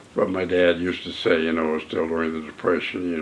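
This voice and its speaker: Over noticeable background noise, a man talks in a very deep, low pitch with monotone, flat intonation. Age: 80s+. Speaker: WWII Navy veteran and painter. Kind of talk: interview answer. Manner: hesitant, halting.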